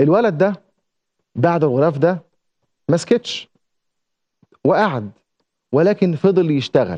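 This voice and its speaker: A man with a high pitch, lively intonation and a dark, mellow tone, at a fairly slow pace with long, frequent pauses, very even loudness and a quiet background. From Egypt. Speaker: TV presenter and journalist; TV presenter, journalist. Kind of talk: TV segment monologue. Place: studio. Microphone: lapel.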